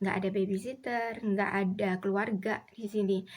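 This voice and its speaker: A woman with a Javanese accent talks at a fairly slow pace and medium pitch. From Indonesia, Solo (Central Java). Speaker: vlogger. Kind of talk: casual chat.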